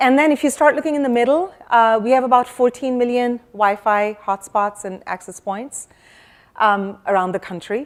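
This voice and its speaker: At a moderate pace, a loud voice with ordinary pitch variation comes through on a very clean recording with a silent background. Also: woman, high pitch for a woman. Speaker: security executive. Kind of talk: conference keynote.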